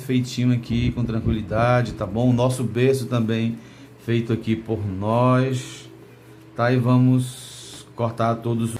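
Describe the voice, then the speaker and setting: Audible room echo surrounds a man who speaks at a fairly slow pace in a medium pitch with monotone, flat intonation. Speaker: bookbinding teacher. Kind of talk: tutorial. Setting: recording studio, alone with technician. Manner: casual, conversational.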